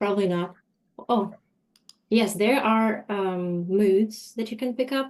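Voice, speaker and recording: A woman with a fairly high pitch and fairly even intonation speaks at a very slow pace, leaving long, frequent pauses. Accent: Russian. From Russia. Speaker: telecom lawyer. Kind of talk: webinar presentation.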